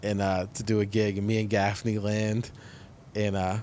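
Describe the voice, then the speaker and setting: This man has an ordinary speaking voice with a fairly low pitch and an American accent. He talks at a moderate pace. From New Jersey. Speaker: comedian and podcast host. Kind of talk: casual chat.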